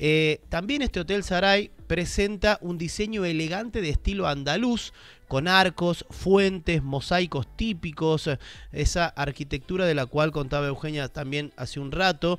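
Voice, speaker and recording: Speaking at a fairly slow pace, a man with a high pitch and ordinary pitch variation is heard in a dry sound with no echo. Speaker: travel show host. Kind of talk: commentary. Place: studio. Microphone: studio mic.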